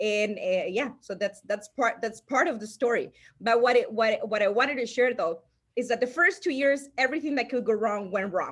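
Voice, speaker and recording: A woman's high voice with lively intonation, a Salvadoran accent and a moderate pace. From El Salvador. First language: Spanish. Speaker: insurance agency owner. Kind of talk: interview storytelling. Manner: halting, many restarts.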